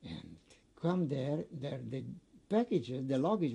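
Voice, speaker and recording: A man talks in a fairly high, somewhat breathy voice with a dark, mellow tone. His pace is fairly slow and his intonation lively. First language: not English. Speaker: Holocaust survivor. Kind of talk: oral history interview. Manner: halting.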